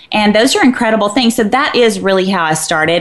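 Over noticeable background noise, the speech runs at a fairly quick pace with ordinary pitch variation. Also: woman. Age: 40s. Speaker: fitness trainer and health writer. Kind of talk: casual chat. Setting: studio.

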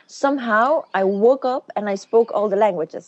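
A woman speaks at a moderate pace in a fairly high pitch with ordinary pitch variation. The sound is dry and close, with no echo. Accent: Flemish. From Belgium (born in Romania). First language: Flemish. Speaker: businesswoman and former beauty queen. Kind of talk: interview. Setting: phone call.

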